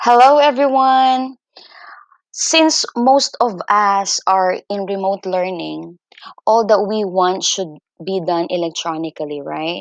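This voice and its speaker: In a dry recording with no echo and a quiet background, a woman talks at a very slow pace with lively intonation. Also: medium pitch for a woman. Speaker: teacher. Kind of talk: screen-recorded tutorial. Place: home room. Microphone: webcam.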